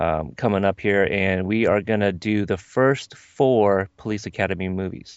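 A man talks in a normal speaking voice at a moderate pace. His pitch sits fairly low. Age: 30s. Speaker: fellow podcaster. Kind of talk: casual chat.

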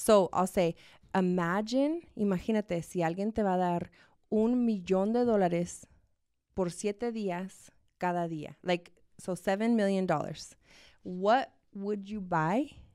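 Speaking very slowly with long, frequent pauses, a woman uses a dark, mellow tone and ordinary pitch variation. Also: medium pitch for a woman. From Arizona, USA, Mexican family from Chihuahua. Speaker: salon owner and entrepreneur. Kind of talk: interview conversation.

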